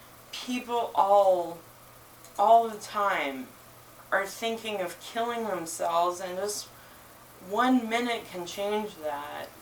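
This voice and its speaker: A woman's medium-pitched voice with lively intonation at a very slow pace, plus audible room echo. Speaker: bookshop owner reading at open mic. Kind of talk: reading aloud.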